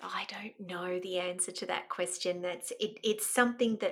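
A woman with an Australian accent speaks at a medium pitch and a fairly slow pace, her tone bright and sharp. Her intonation stays fairly even in a very clean recording with a silent background. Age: 50s. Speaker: mentor and life coach. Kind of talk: casual interview.

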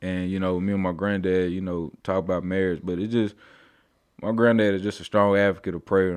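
Speaking with an American accent, a man has a very deep, low pitch and monotone, flat intonation. He talks at a fairly quick pace against a quiet background. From Oklahoma, Tulsa. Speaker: testimony guest. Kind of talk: testimony.

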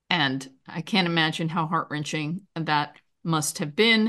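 Someone with an American accent talks at a fairly slow pace against a quiet background. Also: woman. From New York. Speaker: podcast host. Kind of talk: interview.

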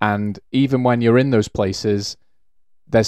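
In a Welsh accent, the speaker keeps a moderate pace and fairly even intonation, in a very clean, dry, close recording with a silent background and no echo. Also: man. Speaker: rugby podcast co-host. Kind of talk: casual chat.

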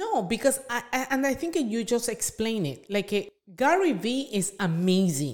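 In a Spanish accent, the speaker moves at a moderate pace with very wide pitch swings. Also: woman. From Venezuela. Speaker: small business owner. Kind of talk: podcast interview.

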